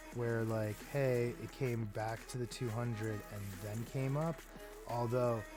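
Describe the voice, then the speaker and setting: Over music in the background, a man talks at a fairly slow pace with a medium pitch and fairly even intonation. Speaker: crypto market analyst. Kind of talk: casual chart analysis talk to camera.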